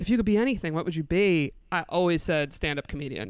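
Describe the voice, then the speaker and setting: Lively intonation marks this woman's speech, delivered in an American accent. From upstate New York. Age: 30s. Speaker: comedian. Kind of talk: casual chat.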